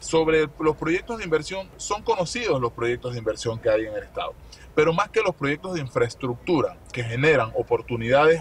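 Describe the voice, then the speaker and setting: Delivered at a moderate pace, the voice has a dry sound with no echo. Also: man. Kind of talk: interview answer. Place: car. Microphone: phone near.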